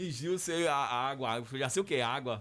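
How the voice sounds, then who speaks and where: An ordinary speaking voice from a man, fairly high in pitch, at a moderate pace with ordinary pitch variation. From southern Bahia, Brazil (rural Camacan area). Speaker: radio announcer and TV director. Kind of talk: interview.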